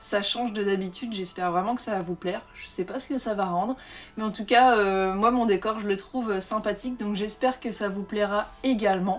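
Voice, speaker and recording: Her pitch sits in the medium range. This woman keeps a fairly even intonation. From Le Havre, Normandy, France. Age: 30s. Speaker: book and lifestyle vlogger. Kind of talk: casual talk to camera.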